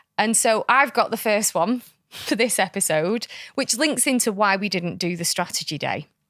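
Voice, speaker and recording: On a very clean recording with a silent background, a woman with a fairly high pitch speaks at a moderate pace in a plain, everyday voice. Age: 30s. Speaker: podcast co-host. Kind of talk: casual chat.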